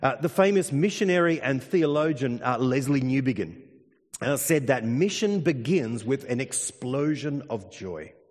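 With an Australian accent, a man speaks at a fairly slow pace in a fairly high pitch, his tone animated and his intonation lively. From Australia, country Victoria. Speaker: pastor. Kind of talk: sermon.

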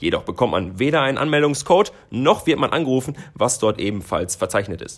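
On a very clean recording with a silent background, a man with a fairly high pitch and vocal fry talks at a fairly quick pace with hardly any pauses and very wide pitch swings. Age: 20s. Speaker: marketing podcast co-host, agency employee. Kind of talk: scripted podcast discussion.

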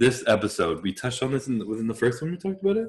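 A man talks at a fairly quick pace in a medium pitch with big swings. His tone is fairly bright.

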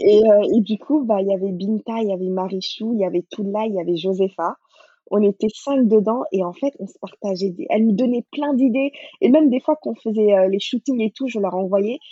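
A plain, everyday voice from a woman, fairly high in pitch, with ordinary pitch variation. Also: moderate pace. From Senegal, Dakar. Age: 30s. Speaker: cookbook author and food blogger. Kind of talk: interview.

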